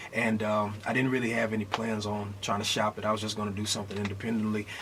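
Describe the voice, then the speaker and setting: A man with an American accent, his voice fairly low, over noticeable background noise. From Houston, Texas. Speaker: gospel singer. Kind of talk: radio interview. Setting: studio. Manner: animated.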